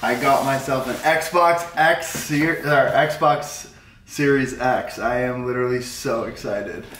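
At a very slow pace, a man with a fairly high voice speaks with ordinary pitch variation, with light background noise and audible room echo. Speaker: vlogger and weightlifter. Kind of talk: casual vlog, then earnest motivational rant about mindset. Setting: outdoors on bikes, with wife. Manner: passionate, fervent, repeating himself; stumbling, halting, running words together. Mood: excited, upbeat. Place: home room. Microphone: camera far.

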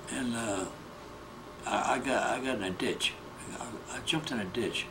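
Noticeable background noise sits behind a man's voice. He speaks at a medium pitch with ordinary pitch variation. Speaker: war veteran. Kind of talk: elderly veteran recounting prison-camp memories in an oral history interview. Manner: halting, repetitive short phrases; plain-spoken, matter-of-fact storytelling. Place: home room. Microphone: handheld.

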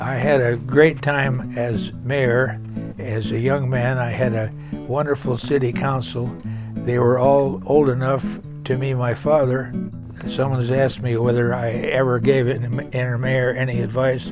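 A man speaks at a fairly slow pace, his dry, echo-free voice set against clear background music. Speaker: former mayor. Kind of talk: casual talk to camera. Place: home room.

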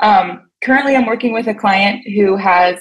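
Somewhat breathy speech with an American accent moves at a moderate pace and fairly even intonation over a quiet background. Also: woman. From Pennsylvania. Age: 30s. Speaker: fitness coach. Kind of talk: call-in question. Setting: phone call. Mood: earnest, a bit unsure. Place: home room. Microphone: video call.

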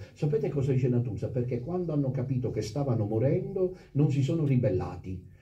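Dark, mellow tone, somewhat breathy, with lively intonation, a fairly quick pace, hardly any pauses and very even loudness. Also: man, medium pitch for a man. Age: 50s. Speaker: priest. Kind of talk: sermon. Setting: chapel with congregation. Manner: animated.

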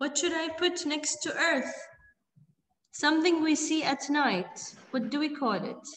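Audible room echo surrounds a woman's high voice. She talks at a fairly slow pace with ordinary pitch variation. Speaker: primary school teacher. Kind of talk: online class teaching. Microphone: video call.

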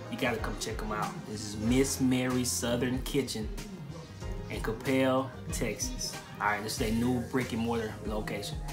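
Over clear background music, a man speaks at a moderate pace with ordinary pitch variation. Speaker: restaurant reviewer. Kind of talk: casual vlog chat. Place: kitchen. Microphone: phone near.

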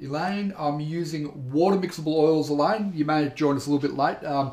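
With an Australian accent, a man speaks at a fairly high pitch with ordinary pitch variation, and the room echo is audible. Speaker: painting instructor. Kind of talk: live stream tutorial chat. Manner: friendly, casual. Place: studio.

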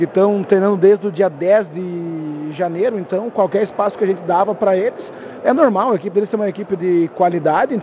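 Light background noise sits under a dry sound with no echo. The man's pitch is high. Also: ordinary pitch variation, fairly quick pace. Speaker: futsal team coach. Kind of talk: interview answer. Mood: calm after a win. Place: hall. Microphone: handheld.

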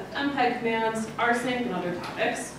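Through noticeable background noise and strong room echo comes a woman's fairly high voice. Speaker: archivist and former history professor. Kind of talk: conference talk. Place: hall.

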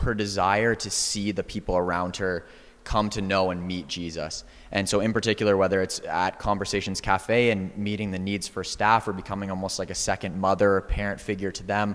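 Here a man talks at a fairly quick pace. His pitch is fairly low and his intonation is monotone and flat. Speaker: guest. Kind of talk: panel discussion answer. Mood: warm, appreciative. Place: church. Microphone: handheld.

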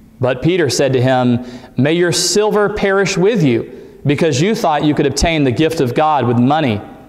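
A man at a fairly slow pace, with lively intonation. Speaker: preacher. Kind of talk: scripture reading in a sermon. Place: church. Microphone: camera far.

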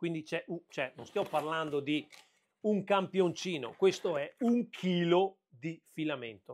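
A man speaks fairly slowly in a high voice, with ordinary pitch variation and big swings in loudness. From Veneto, Italy. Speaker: 3D printing and woodworking YouTuber; tech vlogger. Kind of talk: unboxing video. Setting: home workshop. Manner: casual, hesitant with fillers. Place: workshop. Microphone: lapel.

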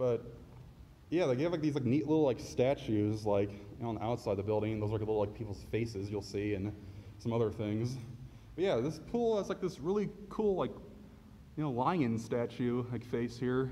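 Lively intonation marks this man's speech. He is somewhat breathy and talks at a fairly quick pace. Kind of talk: casual vlog chat. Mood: impressed, enthusiastic. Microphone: phone near.

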